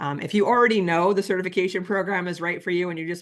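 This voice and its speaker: A woman with an American accent, fairly even in intonation, against a quiet background. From New York. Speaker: library director and nonprofit board president. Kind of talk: webinar presentation. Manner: fast.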